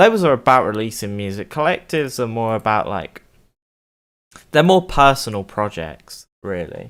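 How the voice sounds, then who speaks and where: At a moderate pace, a man talks at a medium pitch with very wide pitch swings. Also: very clean recording, silent background. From UK. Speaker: music producer streamer. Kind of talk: live stream chat while producing music. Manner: casual, loose.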